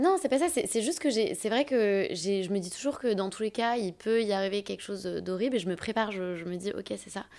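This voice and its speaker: Speaking at a fairly quick pace, a woman with a normal speaking voice shows medium pitch and lively intonation. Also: hardly any pauses. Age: 30s. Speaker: agency co-founder and talent manager. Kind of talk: casual interview.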